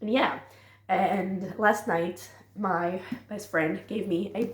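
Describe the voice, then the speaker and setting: A woman's somewhat breathy, fairly low-pitched voice with ordinary pitch variation and audible room echo. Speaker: booktuber, reading vlogger. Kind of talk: casual vlog chat. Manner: casual, filler-heavy.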